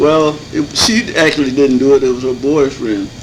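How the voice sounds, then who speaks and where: Against noticeable background noise, a man with a fairly high pitch speaks at a fairly slow pace. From Michigan, Muskegon Heights. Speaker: elder resident interviewee. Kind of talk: oral history interview. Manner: halting.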